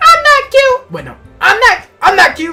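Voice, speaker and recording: A squeaky, put-on character voice at an extremely high pitch and moderate pace, with faint music in the background. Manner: flustered, denying being cute.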